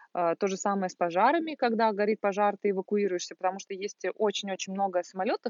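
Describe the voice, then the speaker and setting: A woman with a plain, everyday voice talks at a fairly quick pace, her medium pitch showing ordinary variation. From Russia, Volgograd. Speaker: service manager, former flight attendant. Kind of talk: casual chat. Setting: at a country house outdoors in summer.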